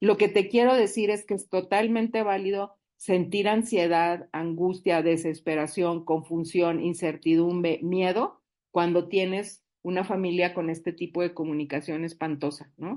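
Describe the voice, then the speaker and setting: Over a quiet background, the voice has a dark, mellow tone and moves at a fairly slow pace with hardly any pauses. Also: woman, fairly low pitch for a woman. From northern Mexico, Monterrey. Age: 60s. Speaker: support group speaker. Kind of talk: recovery group talk. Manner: animated.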